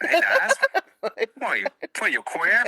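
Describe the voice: An extremely high-pitched, put-on character voice. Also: moderate pace.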